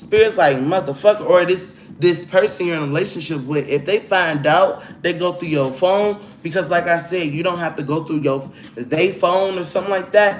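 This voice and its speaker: With an American accent, a man speaks at a high pitch with ordinary pitch variation over noticeable background noise. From Chicago, US. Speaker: tarot reader. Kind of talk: live tarot reading. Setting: livestream. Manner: animated.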